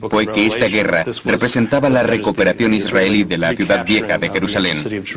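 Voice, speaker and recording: A man talks at a moderate pace with a fairly low pitch and ordinary pitch variation. Noticeable background noise runs behind him. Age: 60s. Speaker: interviewee. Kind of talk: documentary interview.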